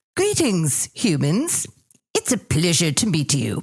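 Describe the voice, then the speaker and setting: In a British accent, a woman puts on a character voice at a fairly low pitch and a fairly slow pace. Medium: audio drama. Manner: polite, cultured.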